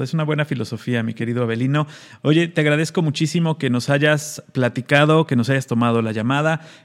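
A man with a fairly high pitch talks at a fairly quick pace, with ordinary pitch variation. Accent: Mexican. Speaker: radio co-host. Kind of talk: casual chat. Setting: video call.

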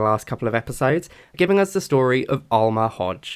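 With a British accent, a man talks very fast at a medium pitch, his intonation lively. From Britain. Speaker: podcast co-host. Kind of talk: casual chat.

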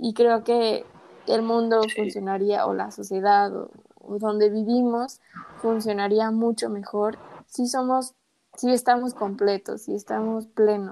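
A woman with a Mexican accent speaks at a fairly slow pace in a fairly high pitch, her dark, mellow tone paired with fairly even intonation. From Mexico. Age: 20s. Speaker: podcast co-host, English teacher. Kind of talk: casual chat.

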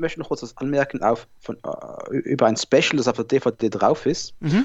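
A man talks in a normal speaking voice. His pace is moderate. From Switzerland, Basel. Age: 30s. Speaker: podcast host. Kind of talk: casual chat.

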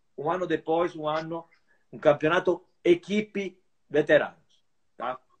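The speaker is a man with a fairly high pitch. He goes at a very slow pace. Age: 50s. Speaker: veteran fencer and sports association leader. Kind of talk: interview.

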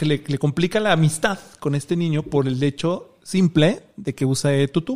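A man with an ordinary speaking voice talks at a moderate pace, fairly high in pitch, with ordinary pitch variation. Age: 30s. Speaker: social media creator and LGBT activist. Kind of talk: casual chat.

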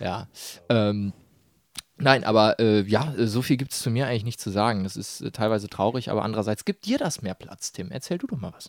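On a very clean recording with a silent background and a dry, close sound without echo, a man talks at a fairly quick pace in a medium pitch, with ordinary pitch variation and big swings in loudness. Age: 20s. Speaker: podcast co-host. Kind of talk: casual chat. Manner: hesitant with many fillers.

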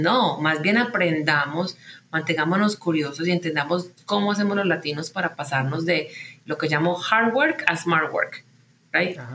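Speaking in a normal speaking voice, the talker keeps a moderate pace and uses ordinary pitch variation. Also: woman. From Colombia, Medellín. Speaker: tech company founder and CEO. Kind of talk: interview.

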